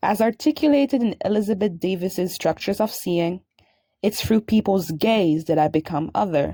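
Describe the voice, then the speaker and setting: A woman's dark, mellow voice at a medium pitch and moderate pace, with very even loudness, dry and close with no echo, on a very clean recording with a silent background. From French Caribbean. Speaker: graduate student. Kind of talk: scripted narration. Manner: formal.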